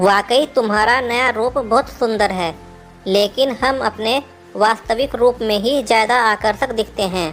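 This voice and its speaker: Over clear music in the background, a female-sounding cartoonish character voice speaks at a fairly slow pace with a fairly high pitch. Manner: calm, gentle, preaching.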